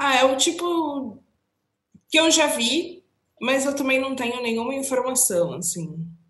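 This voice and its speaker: With audible room echo, a woman talks in a high pitch at a fairly slow pace, her lively intonation broken by long, frequent pauses. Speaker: entertainment podcast co-host. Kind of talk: casual chat.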